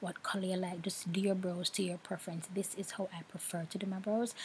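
A soft-spoken woman at medium pitch in a monotone, flat delivery, with light background noise. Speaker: makeup vlogger. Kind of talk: tutorial voiceover.

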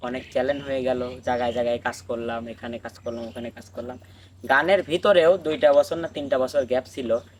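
A man talks at a medium pitch. He has an unremarkable speaking voice. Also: ordinary pitch variation. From Bangladesh, Pabna district. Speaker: folk singer. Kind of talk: life story in casual chat.

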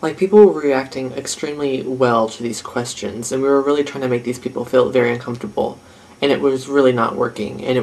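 At a very fast pace with hardly any pauses, a man talks with ordinary pitch variation. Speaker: vlogger host. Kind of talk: comedic confessional aside. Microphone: phone near.

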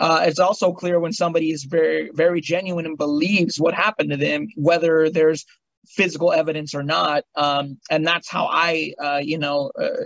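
A man speaks at a moderate pace with hardly any pauses, in an ordinary speaking voice. His pitch is fairly high for a man, with fairly even intonation. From Long Beach, California. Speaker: paranormal investigator, comedian. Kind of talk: podcast interview answer.

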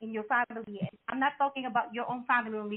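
A woman's fairly high voice in a non-native accent, at a moderate pace. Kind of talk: live talk show. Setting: studio. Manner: animated; halting.

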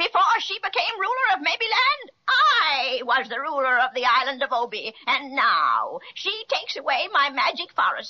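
A female-sounding voice performs a put-on character voice. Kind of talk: 1930s children's radio serial. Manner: menacing, gloating.

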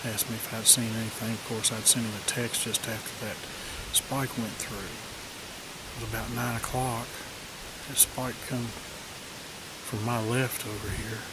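A man at a moderate pace, dry sound with no echo, under loud background noise. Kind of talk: casual vlog chat. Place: forest. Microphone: phone near.

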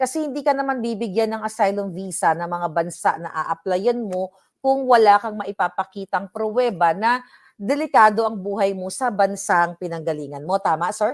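A woman talks at a moderate pace and medium pitch. Her intonation is lively. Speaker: vlogger. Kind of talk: interview.

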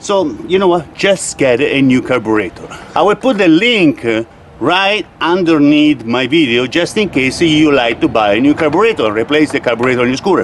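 With faint background noise, a man talks at a moderate pace with lively intonation and few pauses. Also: fairly high pitch for a man.

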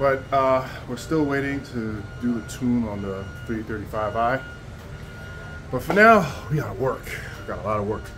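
Over music in the background, a man speaks at a moderate pace with ordinary pitch variation and long, frequent pauses. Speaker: car hobbyist vlogger. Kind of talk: casual vlog chat. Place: garage. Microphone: lapel.

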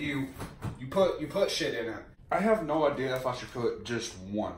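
The voice comes at a moderate pace with audible room echo and light background noise. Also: man. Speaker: home cook vlogger. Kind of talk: casual comedic cooking vlog. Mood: joking, playful. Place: kitchen. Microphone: camera far.

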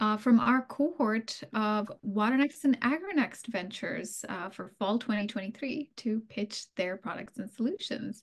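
A woman speaks at a fairly slow pace in a somewhat breathy voice with ordinary pitch variation. The background is quiet. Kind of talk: webinar opening remarks. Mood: friendly, welcoming. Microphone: video call.

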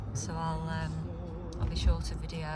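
Loud music plays behind a woman talking at a fairly quick pace. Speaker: vlogger. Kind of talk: casual vlog chat. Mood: cheerful, laughing. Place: car. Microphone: phone near.

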